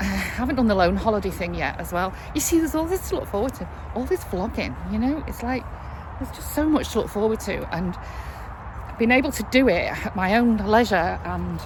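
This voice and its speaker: Audible room echo and noticeable background noise accompany speech delivered at a fairly quick tempo. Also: woman. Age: 60s. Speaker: vlogger. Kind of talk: casual vlog monologue. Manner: chatty, with fillers.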